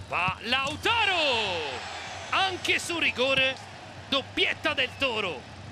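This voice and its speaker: Amid noticeable background noise, a man speaks at a very slow pace with long, frequent pauses, an extremely high pitch and very wide pitch swings. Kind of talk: live sports commentary over match highlights. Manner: rising, emphatic calls on goals.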